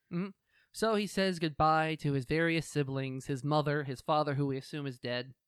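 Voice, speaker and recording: With a dry, close sound and no echo, a man uses an ordinary speaking voice at a fairly high pitch, fairly quick pace and ordinary pitch variation. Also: very clean recording, silent background. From United States. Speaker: podcast co-host. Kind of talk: casual chat.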